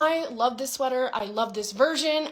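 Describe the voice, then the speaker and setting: Over noticeable background noise, a woman with an American accent raises and projects her high-pitched voice, speaking at a moderate pace with lively intonation. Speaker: knitting content creator. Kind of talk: casual tutorial. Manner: animated.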